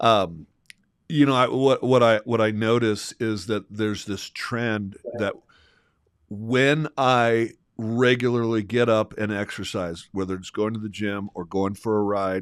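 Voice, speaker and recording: A man's fairly low, fairly even-toned voice at a fairly slow pace, on a very clean recording with a silent background. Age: 60s. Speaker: podcast co-host. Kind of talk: casual chat. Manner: halting.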